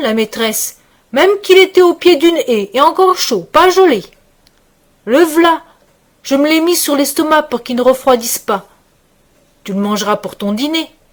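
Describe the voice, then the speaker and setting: A put-on character voice from a woman, high-pitched with very wide pitch swings, at a moderate pace with long, frequent pauses. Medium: read story. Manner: rustic, plain-spoken.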